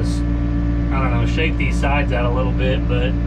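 Fairly quick pace over loud background noise. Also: man. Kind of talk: casual vlog chat. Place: farm machine. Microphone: phone near.

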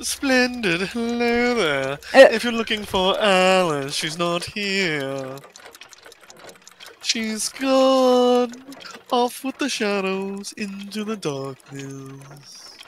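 A put-on character voice at a fairly high pitch moves along at a very slow pace. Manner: sly, playful, theatrical.

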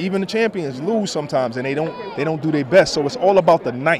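Over noticeable background noise, a man speaks at a very fast pace with lively intonation and an animated tone. The sound is dry, with no echo. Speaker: boxing analyst. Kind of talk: casual on-camera sports interview. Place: hall. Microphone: handheld.

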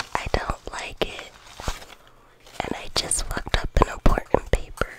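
A woman is whispering. She speaks at a fairly slow pace. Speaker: vlogger. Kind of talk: casual talk to camera. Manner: casual, joking, profane. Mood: joking, mocking, irreverent. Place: home room. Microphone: studio mic.

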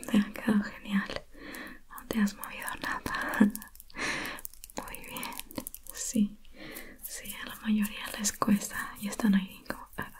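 Whispering in a gentle tone, a woman speaks very slowly with long, frequent pauses. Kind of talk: soft roleplay talk to viewer. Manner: soft, gentle ASMR close-up voice. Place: home room.

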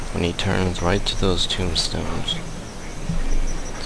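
Loud background noise sits behind speech at a moderate pace, with a dry sound and no echo. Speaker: gamer. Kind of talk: gameplay commentary.

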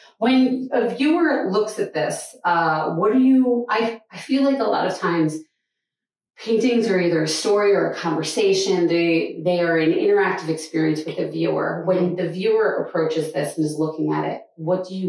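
A woman with lively intonation at a moderate pace, in audible room echo. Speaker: gallery host interviewing an artist. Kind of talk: casual interview. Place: hall.

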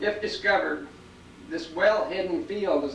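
Over light background noise and audible room echo, a man talks at a moderate pace with ordinary pitch variation. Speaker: presenter. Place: office.

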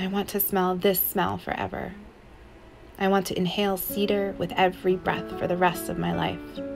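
A woman's moderate-paced speech with music in the background. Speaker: spoken word poet. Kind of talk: spoken word poetry reading.

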